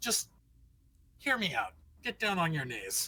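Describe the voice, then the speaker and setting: A put-on character voice, female-sounding, at a medium pitch. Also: moderate pace. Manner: menacing, threatening.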